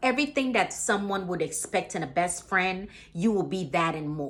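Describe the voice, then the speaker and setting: With a Caribbean accent, a woman speaks at a moderate pace and medium pitch. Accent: Caribbean island. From Caribbean islands. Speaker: motivational vlogger. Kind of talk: motivational talk to camera. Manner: casual, many fillers.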